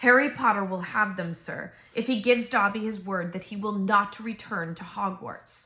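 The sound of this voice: An unforced reading voice, its pitch varying in an ordinary way.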